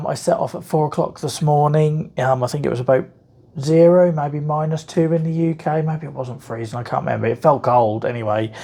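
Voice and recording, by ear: With a Norfolk accent, a man talks at a fairly quick pace in a dark, mellow, somewhat breathy tone. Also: fairly high pitch for a man, ordinary pitch variation.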